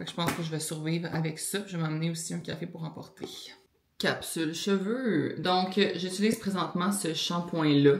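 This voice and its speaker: Against audible room echo, a woman with a Quebec accent speaks at a moderate pace in a fairly low pitch with fairly even intonation. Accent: Québécois French. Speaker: lifestyle vlogger. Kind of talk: casual vlog talk. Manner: filler-heavy, conversational.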